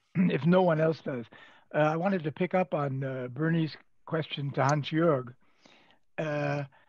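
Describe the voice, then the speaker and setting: A man's fairly high, somewhat breathy voice at a moderate pace, with ordinary pitch variation, long, frequent pauses, and a quiet background. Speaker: professor. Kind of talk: panel Q&A question.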